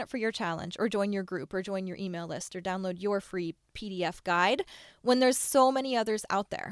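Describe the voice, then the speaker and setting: A woman speaks in an animated tone with lively intonation. The sound is dry and close with no echo, and the recording is very clean over a silent background. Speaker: podcast host, online business coach. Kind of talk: solo podcast monologue. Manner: fast.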